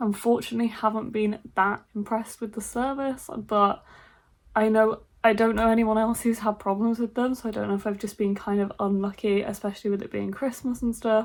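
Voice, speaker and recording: A woman with a British accent speaks in a monotone, flat voice. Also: fairly high pitch for a woman. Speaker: book vlogger. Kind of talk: casual vlog talk. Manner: quiet, soft-spoken.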